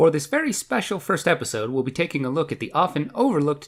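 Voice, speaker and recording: A fairly high-pitched man with vocal fry and very wide pitch swings, at a fairly quick pace, on a very clean recording with a silent background. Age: 20s. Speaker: video game reviewer. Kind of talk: scripted review narration. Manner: sardonic, jokey delivery.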